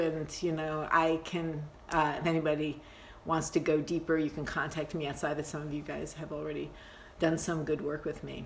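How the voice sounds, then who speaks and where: There is audible room echo around this woman. Her pitch is very deep and low. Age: 60s. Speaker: meditation teacher. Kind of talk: live-streamed meditation class. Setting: Instagram Live video stream. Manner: casual, halting with many fillers.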